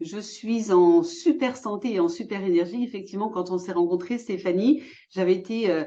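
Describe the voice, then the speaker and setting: A woman speaks at a moderate pace with lively intonation and a dark, mellow tone. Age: 60s. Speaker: entrepreneur, former physiotherapist. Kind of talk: interview.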